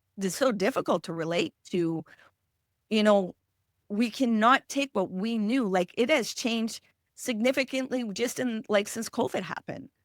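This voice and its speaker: A woman in a French Canadian accent speaks at a moderate pace and fairly high pitch with ordinary pitch variation, the sound dry and close with no echo and the background silent on a very clean recording. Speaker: emotional healing specialist; parent. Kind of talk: podcast interview.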